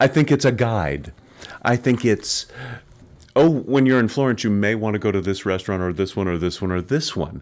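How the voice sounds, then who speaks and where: A man speaks with lively intonation in an ordinary speaking voice. The recording is very clean, with a silent background. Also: fairly low pitch for a man, moderate pace. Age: 50s. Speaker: stage actor. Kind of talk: casual chat.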